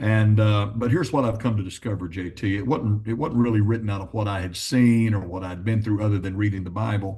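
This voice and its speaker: A man speaks very fast at a fairly low pitch, with ordinary pitch variation. His tone is dark and mellow, somewhat breathy, over a quiet background. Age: 60s. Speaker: gospel songwriter and pastor. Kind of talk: interview.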